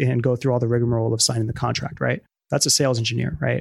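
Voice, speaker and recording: The recording is very clean, with a silent background and a dry, close sound with no echo. A man speaks in a monotone, flat intonation. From Bronx, New York. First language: Spanish. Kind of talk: casual interview conversation.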